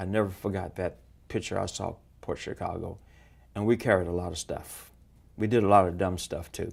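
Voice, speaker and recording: In a very clean recording with a silent background, a man with a very deep, low voice talks at a fairly quick pace with fairly even intonation and long, frequent pauses. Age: 70s. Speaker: mayoral candidate; military veteran. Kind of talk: interview. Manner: blunt, plainspoken.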